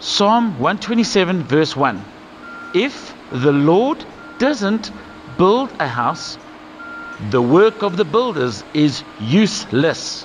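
Over light background noise, a man with a high pitch speaks at a very slow pace with long, frequent pauses. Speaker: presenter. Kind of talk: scripted children's Bible lesson. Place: studio.

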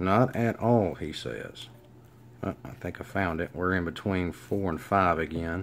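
A man with a Southern US accent speaks at a very deep, low pitch with ordinary pitch variation. He keeps a fairly slow pace over light background noise. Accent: Southern US, country. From Alabama. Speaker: lock hobbyist. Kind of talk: casual how-to demonstration to camera. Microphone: phone near.

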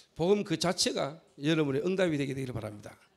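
Against a quiet background, the speech carries lively intonation. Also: man. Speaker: pastor. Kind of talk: sermon. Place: church. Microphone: handheld.

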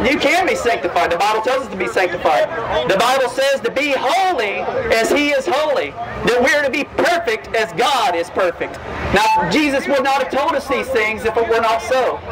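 A man speaks at a moderate pace in a Southern US accent, his pitch extremely high for a man. His intonation is lively, with crowd noise behind him. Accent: American Southern. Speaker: street preacher. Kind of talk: debating a passerby. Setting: outdoors, at a crowded music festival. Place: street. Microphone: phone near.

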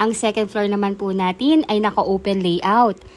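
This is an ordinary speaking voice at a moderate pace. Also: woman. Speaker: real estate broker. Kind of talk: sales pitch. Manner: brisk, upbeat, persuasive pitchman-style urgency; polite, formal, rehearsed.

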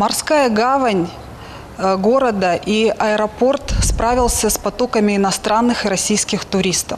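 A woman's unremarkable speaking voice, fairly high in pitch, with ordinary pitch variation, a fairly slow pace, very even loudness and light background noise. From Sochi, southern Russia; Russia. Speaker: local resident asking a question. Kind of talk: question on live broadcast. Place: street. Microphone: handheld.

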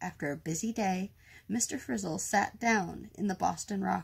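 Lively intonation in a natural reading voice

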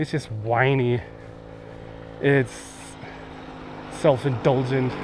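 At a very slow pace, a man talks in a flat monotone at medium pitch, with a dry sound with no echo and light background noise. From Germany. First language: German. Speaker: travel vlogger. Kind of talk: casual vlog monologue. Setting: outdoors. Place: open country. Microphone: phone near.

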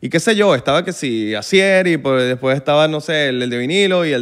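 A man with a Venezuelan accent, fairly high-pitched, animated in tone with lively intonation, over a quiet background. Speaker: musician and content creator; content creator. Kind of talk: casual chat. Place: studio. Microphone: studio mic.

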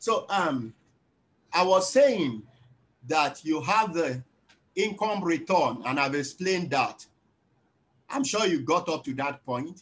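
A man talks very slowly, with long pauses coming often. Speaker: lecturer. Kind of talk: lecture. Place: home room. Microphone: video call.

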